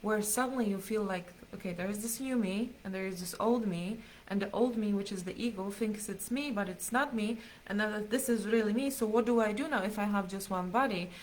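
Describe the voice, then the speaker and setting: Speaking fairly quickly, a woman uses a fairly high voice with fairly even intonation. The room echo is audible. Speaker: spiritual teacher. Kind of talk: live stream teaching. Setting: live stream.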